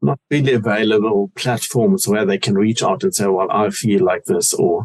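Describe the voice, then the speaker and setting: With a German accent, a man speaks at a moderate pace and medium pitch, his pitch making very wide swings. His loudness stays very even, and the sound is dry and close with no echo. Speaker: cancer awareness foundation founder. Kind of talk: interview.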